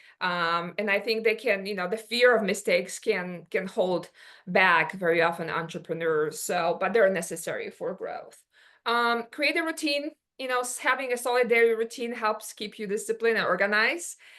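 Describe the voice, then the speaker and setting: With a Polish accent, a woman talks at a moderate pace in a fairly high, bright, sharp voice full of lively intonation. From Poland. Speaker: business owner. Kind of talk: workshop presentation. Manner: halting, many fillers.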